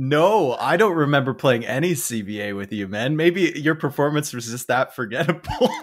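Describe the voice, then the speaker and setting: A man with a fairly high voice talks at a moderate pace, barely pausing, his intonation lively over noticeable background noise. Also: big swings in loudness. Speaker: game caster. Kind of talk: casual chat.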